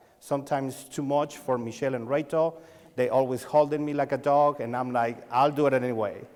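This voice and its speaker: Speaking at a fairly quick pace with a Mexican accent, a man uses a fairly high pitch and fairly even intonation. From Mexico. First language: Spanish. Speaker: lighting designer and sales coach. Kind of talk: conference talk. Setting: stage with audience. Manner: halting.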